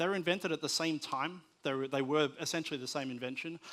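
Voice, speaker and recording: Heard in a very clean recording with a silent background, a man with an Australian accent speaks at a fairly high pitch. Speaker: conference speaker on media technology. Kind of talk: conference presentation. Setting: stage with audience. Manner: hesitant with many fillers and repetitions.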